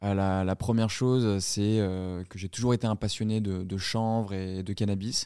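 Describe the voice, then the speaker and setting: In a dry, close sound with no echo, a man with a dark, mellow tone speaks at a fairly slow pace and a fairly low pitch, his intonation monotone and flat. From southern France. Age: 20s. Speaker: entrepreneur. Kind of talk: interview. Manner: halting, with many fillers and repetitions.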